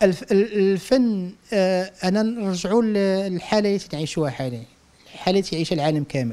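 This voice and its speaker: A man with a high voice and a dark, mellow tone talks at a moderate pace. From Morocco, Casablanca. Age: 40s. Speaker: visual artist. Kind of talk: interview. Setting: at home. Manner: halting. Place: home room. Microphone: handheld.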